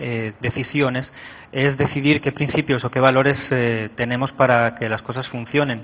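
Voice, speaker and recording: This man speaks with a Spanish accent at a medium pitch. His intonation is fairly even and his pace moderate. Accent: Spanish (Spain) accent noticeable. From Spain. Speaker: IT manager at a health ministry, conference speaker. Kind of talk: conference talk.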